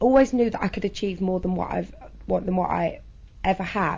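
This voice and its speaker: With a southern English accent and some vocal fry, a woman speaks at a fairly quick pace and a medium pitch. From southern England. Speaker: interviewee sharing personal experience. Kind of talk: interview testimony. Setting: interview in a children's centre room. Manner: halting.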